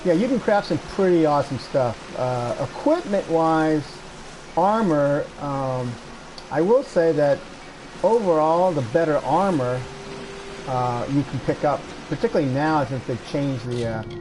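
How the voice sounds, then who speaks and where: Over noticeable background noise, a man with a fairly high pitch and lively intonation talks at a fairly slow pace, with long, frequent pauses. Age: 60s. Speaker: video game streamer. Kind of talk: casual gameplay commentary. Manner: halting.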